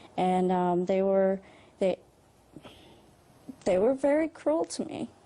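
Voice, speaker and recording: A woman's medium-pitched voice, dark and mellow with vocal fry, moves through very wide pitch swings. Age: 40s. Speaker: convert to Islam. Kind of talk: testimony. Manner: halting.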